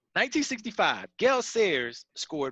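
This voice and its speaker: A man uses a raised, projected voice with a bright, sharp tone and very wide pitch swings. The sound is dry and close with no echo, over a quiet background. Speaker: sports talk radio host. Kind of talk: casual chat. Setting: video call.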